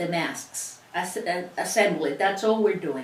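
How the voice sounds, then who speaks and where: In a Cuban accent, a woman speaks at a fairly slow pace and medium pitch against noticeable background noise. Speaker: sewing instructor. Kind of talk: tutorial.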